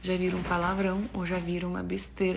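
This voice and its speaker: A woman with a Russian accent talks at a fairly quick pace amid noticeable background noise and audible room echo. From Russia, Samara. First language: Russian (speaking Portuguese). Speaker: actress. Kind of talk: casual vlog talk.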